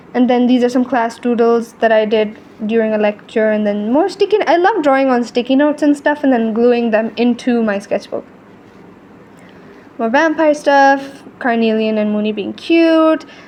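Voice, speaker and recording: Against noticeable background noise, a high-pitched woman speaks at a moderate pace. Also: ordinary pitch variation. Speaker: artist and video creator. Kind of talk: casual chat. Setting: voiceover recorded over video. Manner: animated.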